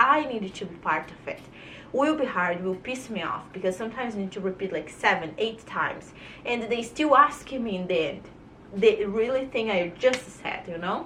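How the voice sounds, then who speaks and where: A woman with a Brazilian accent speaks at a moderate pace in a fairly high, animated voice with lively intonation and audible room echo. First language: Portuguese. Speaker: vlogger. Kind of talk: casual monologue to camera.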